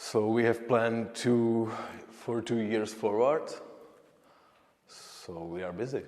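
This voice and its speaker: Audible room echo surrounds a man speaking at a very slow pace with long, frequent pauses and big swings in loudness. His pitch is medium and his intonation fairly even. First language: Czech. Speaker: painter. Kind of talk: interview. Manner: halting.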